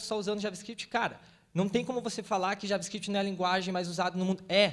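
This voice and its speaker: This man talks fairly quickly at a high pitch, with a slight Paraná accent. His intonation stays fairly even against a quiet background. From Paraná, Brazil. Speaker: web developer panelist, event organizer; panelist. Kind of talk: panel discussion. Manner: casual, slangy. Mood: passionate, informal, profane. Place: stage. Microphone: handheld.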